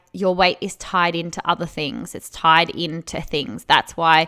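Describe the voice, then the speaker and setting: Over a silent background in a very clean recording, a woman speaks at a fairly slow pace in a bright, sharp tone. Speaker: spiritual mindset and weight loss coach. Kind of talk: podcast monologue. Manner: dramatic; casual, filler-heavy.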